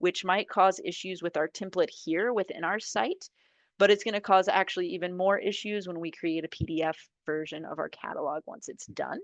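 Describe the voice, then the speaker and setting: A woman speaks in an unremarkable speaking voice at medium pitch, with ordinary pitch variation and a moderate pace. The sound is dry and close with no echo against a quiet background. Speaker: software trainer. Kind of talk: software training tutorial. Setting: video call.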